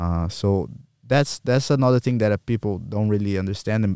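Against a very clean recording with a silent background and a dry, close sound with no echo, a man speaks at a moderate pace with a fairly low pitch, a dark, mellow tone and ordinary pitch variation. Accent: Portuguese. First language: Portuguese. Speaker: jiu-jitsu athlete and coach. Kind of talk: casual interview.

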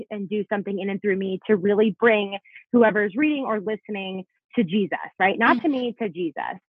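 A woman with an American accent speaks in an unremarkable speaking voice, her fairly high pitch moving with ordinary variation. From South Florida. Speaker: Bible teacher and author. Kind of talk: podcast interview.

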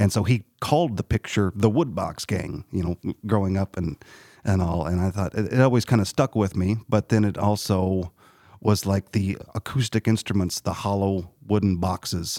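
A man with a Southern Illinois accent, a fairly low pitch, ordinary pitch variation, a dark, mellow tone and a moderate pace, in a dry, close sound with no echo and a very clean recording with a silent background. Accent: Southern Illinois, Midland American. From Southern Illinois, US. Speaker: musician. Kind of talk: interview. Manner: halting, many fillers.

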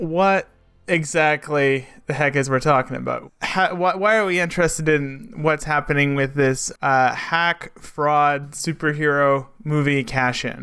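A man with a fairly high, bright and sharp voice speaks fairly slowly, with ordinary pitch variation and very even loudness. The recording is very clean, with a silent background. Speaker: podcast co-host. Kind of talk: casual chat. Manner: slower than usual.

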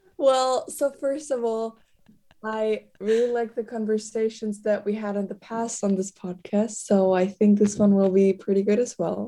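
With a dark, mellow tone, a woman talks at a moderate pace in a medium pitch and fairly even intonation. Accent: German. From Germany. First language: German. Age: young. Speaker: exchange student. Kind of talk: casual chat.

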